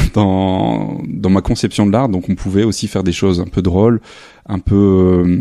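In a dark, mellow tone, a man with a very deep, low pitch speaks fairly slowly with fairly even intonation. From northern France, near Lille. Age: 30s. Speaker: photographer. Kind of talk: interview. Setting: artist's apartment studio. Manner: halting.

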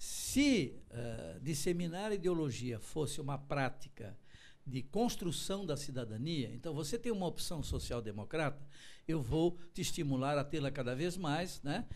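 Lively in intonation, a man with a fairly high pitch speaks at a fairly slow pace amid audible room echo. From Santa Catarina, Brazil (Florianópolis from age five). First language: German (speaking Portuguese). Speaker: law professor and political analyst. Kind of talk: interview. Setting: TV studio, broadcast live.

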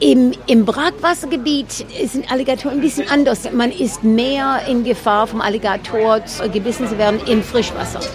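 Music can be heard behind the speaker. She is a woman whose pitch sits fairly high. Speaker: boat tour guide. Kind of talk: casual tour-guide explanation in an interview. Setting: outdoors on a boat.

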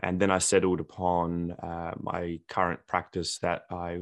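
A man's very deep, low voice in an Australian accent, monotone and flat, over a quiet background. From Australia, Adelaide. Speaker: dentist. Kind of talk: podcast interview.

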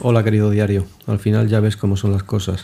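In a rumbling put-on character voice, a man speaks at a fairly quick pace with monotone, flat intonation. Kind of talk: comic confessional monologue. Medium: solo performance. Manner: sarcastic, grumbling, peppered with swearing; conversational, addressing the diary fondly.

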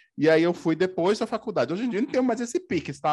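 The speaker is a man, talking very fast. Everything around him stays quiet. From Pernambuco, Brazil (Paudalho, near Recife). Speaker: podcaster. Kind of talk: casual chat.

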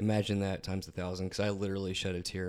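A man mumbles at a very fast pace in a fairly low voice. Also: very clean recording, silent background. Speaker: podcast co-host. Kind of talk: casual chat. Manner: mumbling.

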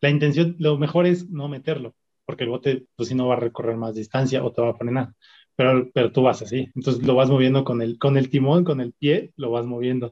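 A man talks at a fairly quick pace, his pitch medium and his intonation fairly even. He has a plain, everyday voice. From Mexico City (Xochimilco). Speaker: rower. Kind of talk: interview conversation.

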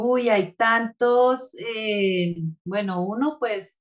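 A woman speaks at a medium pitch. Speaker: mindfulness facilitator and meditation guide. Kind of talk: casual interview chat.

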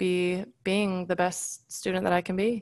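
A woman in an American accent, with a normal speaking voice at medium pitch and a moderate pace. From California. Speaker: physician assistant student, former college volleyball player. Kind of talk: casual interview.

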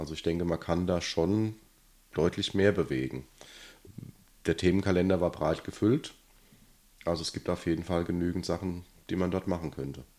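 A man with a very deep, low pitch and a dark, mellow tone speaks at a moderate pace with vocal fry, fairly even intonation and long, frequent pauses. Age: 40s. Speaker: local politician, city councillor. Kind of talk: casual interview.

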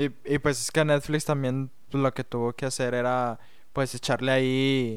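A man at a fairly slow pace, with monotone, flat intonation. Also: medium pitch for a man. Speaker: podcast co-host. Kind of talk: casual chat.

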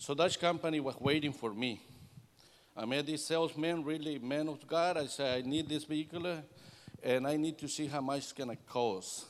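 A man with a Salvadoran accent, at a moderate pace and with fairly even intonation. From El Salvador. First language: Spanish. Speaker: air conditioning business owner giving church testimony. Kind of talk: testimony. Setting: church service.

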